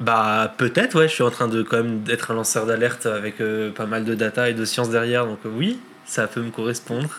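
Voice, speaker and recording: With noticeable background noise behind him, a man speaks at a medium pitch and moderate pace in a monotone, flat intonation. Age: 30s. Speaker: climate scientist and storm chaser. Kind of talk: casual interview.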